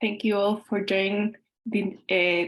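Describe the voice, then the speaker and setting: A woman of medium pitch with a Spanish accent and fairly even intonation. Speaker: constitutional council member. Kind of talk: panel discussion. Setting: video call.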